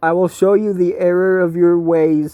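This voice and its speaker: This put-on character voice sits at a middle pitch and moves at a moderate pace with monotone, flat intonation. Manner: menacing.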